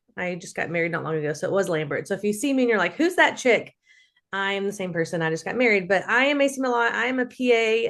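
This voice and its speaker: Against a quiet background, a woman with a medium pitch speaks in an animated tone. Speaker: physician assistant and sales team leader. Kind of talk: motivational talk on video call. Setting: video call. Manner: loud.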